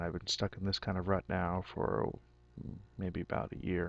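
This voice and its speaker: A man with a very deep, low voice and vocal fry talks at a moderate pace, his pitch varying in an ordinary way. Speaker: physics graduate student giving testimonial. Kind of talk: testimony. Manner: halting, with fillers.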